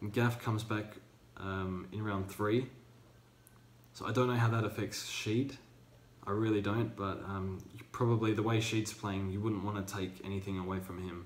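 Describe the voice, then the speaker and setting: Using monotone, flat intonation, a man with a fairly low pitch and an Australian accent speaks at a moderate pace amid audible room echo. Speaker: fantasy football youtuber. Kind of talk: casual commentary vlog. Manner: hesitant, many fillers.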